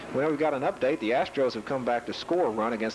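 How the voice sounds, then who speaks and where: Over noticeable background noise, a man with an East Tennessee accent talks at a very fast pace. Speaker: play-by-play sports announcer. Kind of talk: live commentary.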